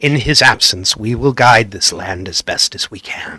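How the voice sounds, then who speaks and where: Using a put-on character voice, a man talks at a moderate pace and medium pitch with ordinary pitch variation and big swings in loudness. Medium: actual play. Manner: formal, solemn.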